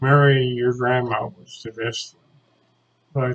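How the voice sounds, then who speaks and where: A man's somewhat breathy voice comes through at a very slow tempo. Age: 90s. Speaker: great-grandfather recording a message to descendants. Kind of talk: personal video message. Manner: halting.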